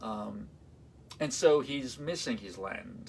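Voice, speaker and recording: A man with an Armenian accent. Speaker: classical violinist. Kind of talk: live-streamed concert talk. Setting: livestream. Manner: halting, many fillers.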